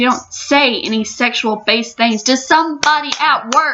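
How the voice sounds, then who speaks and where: Over music in the background, this voice moves at a fairly slow pace with ordinary pitch variation. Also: woman. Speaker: youtuber. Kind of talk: rant. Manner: animated.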